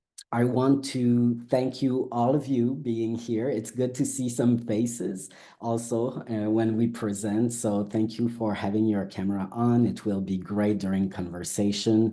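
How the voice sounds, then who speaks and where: A man with a French accent talks at medium pitch with fairly even intonation. Room echo can be heard. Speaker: academic researcher. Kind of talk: academic lecture. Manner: halting.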